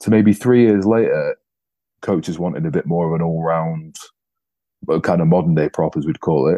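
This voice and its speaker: A man with a very deep, low voice and an English accent, heard dry and close with no echo, in a dark, mellow tone. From England. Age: 30s. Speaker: professional rugby player. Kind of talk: casual interview.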